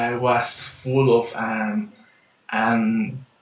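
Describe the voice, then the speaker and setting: A man with a Peruvian accent speaks with lively intonation, and the room echo is audible. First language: Spanish. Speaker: life and business coach. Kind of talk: interview. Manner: halting, many fillers and repetitions.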